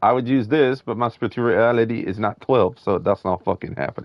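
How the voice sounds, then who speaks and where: The man's voice sits fairly low in pitch with ordinary pitch variation. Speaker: gaming streamer. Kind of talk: live gameplay commentary. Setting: live stream. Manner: loud; casual, profane.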